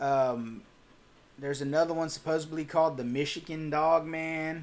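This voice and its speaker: Here a man with a Texas accent talks at a moderate pace, his intonation fairly even. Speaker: cryptid channel host. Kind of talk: livestream Q&A reading chat. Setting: livestream.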